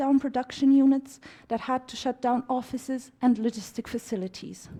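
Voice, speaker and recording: This woman has a dark, mellow tone. She speaks with a Romanian accent. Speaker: conference speaker. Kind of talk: formal speech. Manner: formal.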